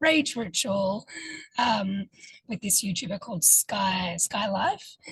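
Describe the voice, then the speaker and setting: A woman's somewhat breathy voice at medium pitch, with a dry, close sound with no echo. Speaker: ritual facilitator. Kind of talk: interview. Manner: hesitant, many fillers.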